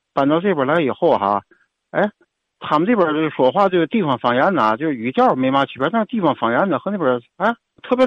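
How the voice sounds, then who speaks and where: A man with a plain, everyday voice talks at a fairly quick clip, his fairly high pitch carrying lively intonation. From Tianjin. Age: 60s. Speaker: caller. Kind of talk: call-in chat.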